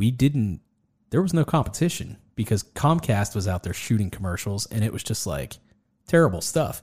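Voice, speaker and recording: A man's fairly low, somewhat breathy voice with a dark, mellow tone and very wide pitch swings, at a moderate pace, in a very clean recording with a silent background. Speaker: podcast host and videographer. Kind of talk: casual interview chat. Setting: studio.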